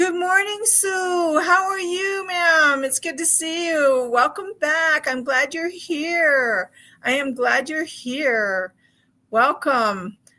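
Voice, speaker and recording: Over a very clean recording with a silent background, a woman speaks very slowly in a raised, projected voice whose tone is both warm and bright, sharp, with very wide pitch swings. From Hawaii and Alaska. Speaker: crochet livestream host. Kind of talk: casual livestream chat and crafting tutorial. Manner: warm, chatty, many fillers.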